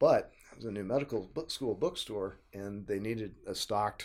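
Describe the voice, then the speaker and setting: In an American accent, a man with an unremarkable speaking voice talks at a fairly low pitch, a moderate pace and ordinary pitch variation. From Oklahoma (Tulsa). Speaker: history professor. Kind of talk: casual interview.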